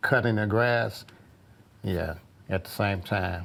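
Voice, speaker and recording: Pitched fairly low, a man with an ordinary speaking voice talks with fairly even intonation. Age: 60s. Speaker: groundskeeper and custodian. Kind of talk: interview.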